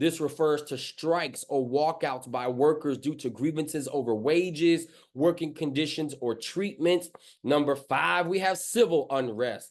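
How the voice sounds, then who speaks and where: An ordinary speaking voice, a man at fairly high pitch and a fairly slow pace, with ordinary pitch variation over a quiet background. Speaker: pastor. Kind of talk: sermon.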